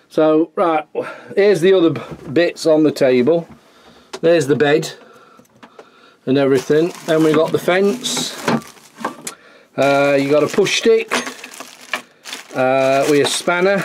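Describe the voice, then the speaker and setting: Speaking at a fairly slow pace with long, frequent pauses, the voice comes through over noticeable background noise. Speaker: hobby woodworker reviewer. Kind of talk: casual tutorial walkthrough. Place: workshop. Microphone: phone near.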